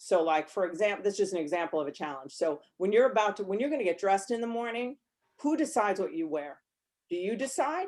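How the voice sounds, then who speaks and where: A loud, animated woman at a very fast pace, her medium-pitched voice making very wide pitch swings. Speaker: counselor and podcaster. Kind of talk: casual chat.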